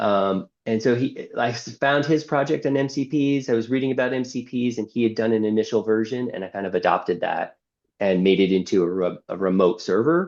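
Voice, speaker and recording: A man talks at medium pitch with lively intonation, at a fairly quick pace with hardly any pauses. The background is quiet. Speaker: civic tech developer. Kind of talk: screen-share presentation. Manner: halting, many fillers and restarts.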